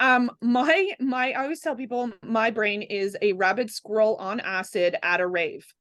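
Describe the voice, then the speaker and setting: With a normal speaking voice and lively intonation, a woman talks at a moderate pace in a fairly high pitch, with hardly any pauses. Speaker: holistic energy practitioner and podcast guest. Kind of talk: casual chat.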